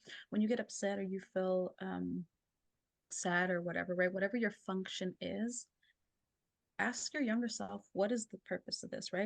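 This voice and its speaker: Her voice is an unremarkable speaking voice in a medium pitch. This woman talks at a moderate pace with ordinary pitch variation. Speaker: clinical therapist and energy healer. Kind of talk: casual interview.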